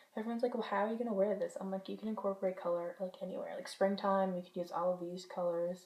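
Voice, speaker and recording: Her voice is somewhat breathy, with a dark, mellow tone at a medium pitch for a woman. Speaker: beauty vlogger. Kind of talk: product review monologue. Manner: fast.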